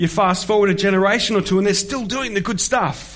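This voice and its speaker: In a room with audible echo, a man with an Australian accent speaks at a moderate pace in a high pitch with fairly even intonation. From Australia (Melbourne). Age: 40s. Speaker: pastor. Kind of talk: sermon. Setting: church.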